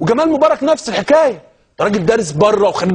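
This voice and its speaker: An animated man with a Cairo accent, at a fairly quick pace with very wide pitch swings. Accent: Egyptian Arabic (Cairene). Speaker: TV talk show host. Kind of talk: TV talk show monologue.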